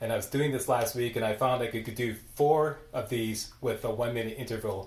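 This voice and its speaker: Somewhat breathy, the man speaks at a medium pitch with ordinary pitch variation. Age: 60s. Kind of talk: casual talk to camera.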